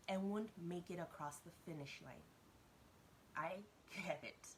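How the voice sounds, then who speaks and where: Her voice is somewhat breathy and medium in pitch, and this woman's intonation is lively. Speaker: business coach for entrepreneurs. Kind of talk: motivational talk to camera. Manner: fast.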